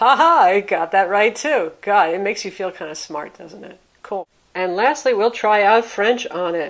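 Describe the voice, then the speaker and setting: A woman with an American accent has an unremarkable speaking voice at a medium pitch. She talks at a moderate pace with lively intonation and big swings in loudness. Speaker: tech reviewer. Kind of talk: product review.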